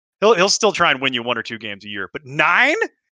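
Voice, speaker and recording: Bright and sharp in tone, a man speaks at a high pitch with an American accent. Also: dry, close sound with no echo. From Chicago. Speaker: fantasy football podcast co-host. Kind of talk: casual sports chat. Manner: animated.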